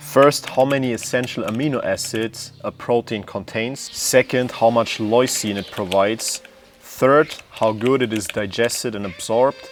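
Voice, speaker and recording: A man with a non-native accent, fairly even intonation and hardly any pauses, amid noticeable background noise. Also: medium pitch for a man, moderate pace. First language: not English. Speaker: fitness content creator. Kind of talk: educational explainer.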